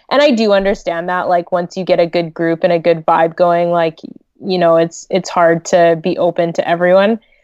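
With a western Canadian accent, a woman speaks at a fairly low pitch and a moderate pace in a monotone, flat delivery. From Canada, Greater Vancouver. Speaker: wedding photographer. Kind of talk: casual interview chat.

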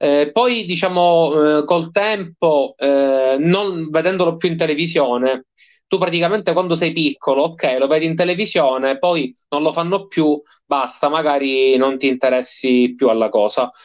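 With a normal speaking voice, a man of fairly high pitch talks at a fairly slow pace, with ordinary pitch variation and very even loudness. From Sicily, province of Palermo. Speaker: professional wrestler. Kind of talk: casual interview.

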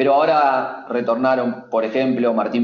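At a moderate pace, a man speaks in an ordinary speaking voice with a medium pitch. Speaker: futsal journalist. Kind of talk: sports analysis interview.

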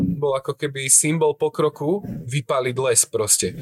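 A fairly high-pitched man's voice, dry and close with no echo, over noticeable background noise. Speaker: podcast host. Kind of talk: casual chat. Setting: café in Prague.

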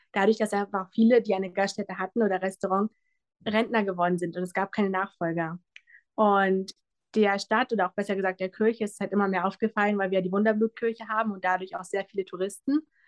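Here a woman speaks at a medium pitch and a fairly quick pace. The sound is dry and close with no echo, against a quiet background. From Brandenburg, Germany. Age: 20s. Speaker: pastry chef and café owner. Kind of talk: interview. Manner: animated.

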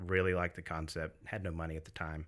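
A man speaks with a very deep, low voice and an American accent. His pace is fairly quick. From US South, Greenville South Carolina. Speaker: business owner, gym-food store owner. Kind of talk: casual podcast interview. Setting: studio. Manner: soft-spoken.

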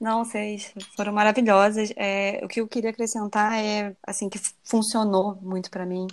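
On a very clean recording with a silent background, a woman speaks at a moderate pace with fairly high pitch and monotone, flat intonation. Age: 30s. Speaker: dentist and vegan recipe influencer. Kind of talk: casual interview chat.

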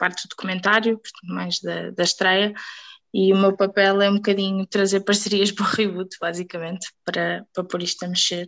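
This is a woman with an unremarkable speaking voice. Her pitch sits at a medium level and her intonation stays fairly even. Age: 20s. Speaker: hospitality trainer. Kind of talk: casual chat.

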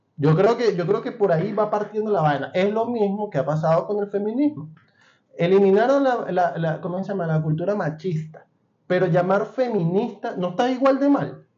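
A man's high-pitched voice carries a dark, mellow tone and ordinary pitch variation. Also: moderate pace. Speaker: podcast host. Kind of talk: casual chat. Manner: animated.

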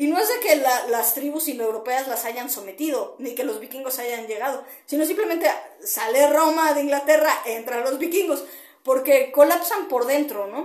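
A woman speaks at a high pitch and a moderate pace with lively intonation. Audible room echo surrounds her voice. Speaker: podcaster and kickboxer. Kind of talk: monologue commentary. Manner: hesitant, many fillers.

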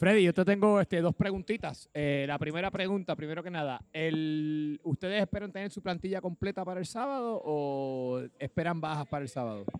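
A man's high-pitched voice moves at a moderate pace, his intonation lively. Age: 40s. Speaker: podcast co-host and amateur footballer. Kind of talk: casual sports chat.

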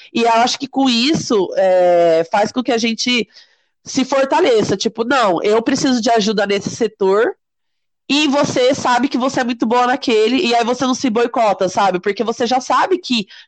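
A woman with an unremarkable speaking voice talks at a moderate pace and fairly high pitch, her intonation lively and her loudness very even, in a dry, close sound with no echo. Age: 30s. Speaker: entrepreneur. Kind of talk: interview.

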